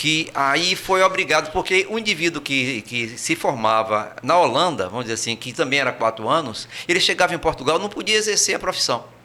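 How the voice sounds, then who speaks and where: Speaking with a Brazilian accent, a man uses a fairly high pitch with very wide swings. He goes at a fairly quick pace with hardly any pauses over noticeable background noise. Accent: kept his Brazilian. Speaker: emigrant recounting experience. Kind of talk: interview. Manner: hesitant, many fillers and repetitions.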